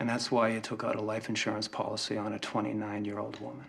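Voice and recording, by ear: The words are read out in a natural voice.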